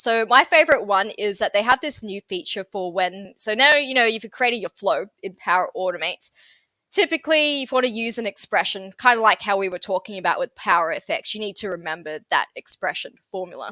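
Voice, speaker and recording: A woman with a Sydney accent, medium pitch, bright, sharp tone and lively intonation at a fairly quick pace, in a very clean recording with a silent background and a dry, close sound with no echo. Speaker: software trainer. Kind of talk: interview. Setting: podcast.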